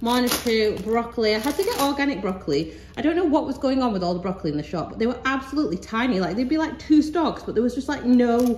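Over light background noise and audible room echo, a woman speaks at a very fast pace in a high pitch with hardly any pauses. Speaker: mum vlogger. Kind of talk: casual haul vlog chat. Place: kitchen. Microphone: phone near.

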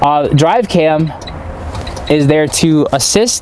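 A man speaks over noticeable background noise. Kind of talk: equipment demonstration. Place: car.

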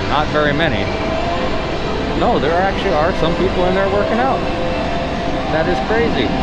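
Long, frequent pauses from a man at a moderate pace, under loud background noise. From California. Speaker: travel vlogger. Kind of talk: vlog walking tour narration. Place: shop. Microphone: phone near.

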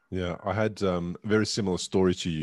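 In an Australian accent, a man with a very deep, low voice speaks at a moderate pace with fairly even intonation, the sound dry with no echo and the background quiet. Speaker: podcast host and stroke survivor. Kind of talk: interview conversation. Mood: calm, reflective. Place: studio. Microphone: studio mic.

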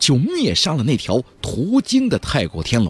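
A man speaks at a moderate pace with a slightly husky edge. His pitch makes very wide swings.

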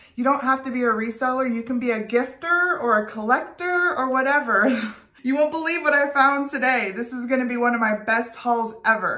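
Big swings in loudness mark this woman's high-pitched voice. She moves at a fairly quick pace with ordinary pitch variation. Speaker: thrift vlogger. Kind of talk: casual vlog chat. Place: home room. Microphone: phone near.

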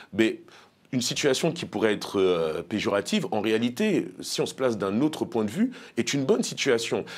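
A man's voice with lively intonation at a moderate pace. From Paris suburbs, France; France. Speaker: elected officials' association leader; guest. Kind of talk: interview. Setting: studio. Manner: hesitant, many fillers. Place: studio. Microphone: lapel.

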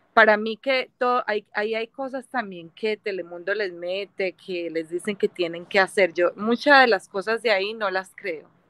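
At a moderate pace with hardly any pauses, a woman speaks at medium pitch with ordinary pitch variation, the sound dry with no echo and the background quiet. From Colombia. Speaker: viewer joining live stream. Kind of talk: casual chat. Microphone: video call.

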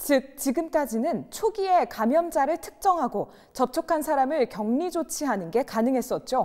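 With hardly any pauses, a woman talks at a moderate pace in a high voice that swings very widely in pitch, against a quiet background. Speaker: news reporter. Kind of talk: news reading. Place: studio. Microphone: lapel.

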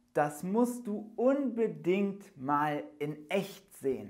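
Against a quiet background, a man speaks very slowly in a high voice. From Germany. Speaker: German teacher. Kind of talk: language lesson. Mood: cheerful, enthusiastic. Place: studio. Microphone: lapel.

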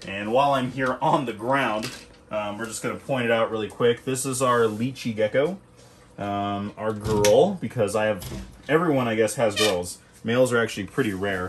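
A man at a moderate pace, with ordinary pitch variation, over noticeable background noise. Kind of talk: casual tour commentary. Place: home room. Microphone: phone near.

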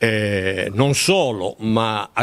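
Lively intonation runs through this man's speech. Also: quiet background. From southern Italy, Apulia (near Taranto); Apulia, Italy. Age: 80s+. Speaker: author, retired teacher; retired teacher. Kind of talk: interview. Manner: halting, with many repetitions. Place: home room. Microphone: handheld.

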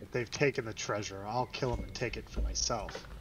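Through clear background noise and hissing, a man does a put-on character voice at a fairly quick pace. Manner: hissing, fierce.

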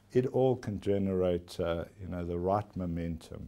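A man's dark, mellow voice with a South African accent at a fairly slow pace. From South Africa (KwaZulu-Natal). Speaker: company chief executive. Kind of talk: formal TV interview. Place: office. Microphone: lapel.

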